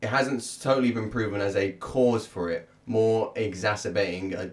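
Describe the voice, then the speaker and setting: This is an ordinary speaking voice. It moves at a fairly slow pace. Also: man. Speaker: podcast co-host and musician. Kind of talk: casual chat.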